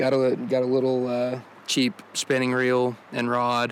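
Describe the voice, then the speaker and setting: This man's voice lands at a medium pitch, with noticeable noise in the background. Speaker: outdoors video host. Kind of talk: casual vlog narration. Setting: outdoors by a river. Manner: casual, hesitant with fillers.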